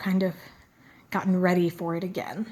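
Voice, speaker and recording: The speaker is a woman with a somewhat breathy voice. She talks at a fairly quick pace. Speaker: beauty and fragrance vlogger. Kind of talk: product review vlog. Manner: casual, with frequent fillers.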